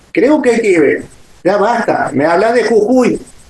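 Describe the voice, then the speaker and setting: The man's voice sits high. His pitch swings very widely. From Argentina, Córdoba. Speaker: folk dance teacher and choreographer. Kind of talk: interview. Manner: hesitant, many fillers.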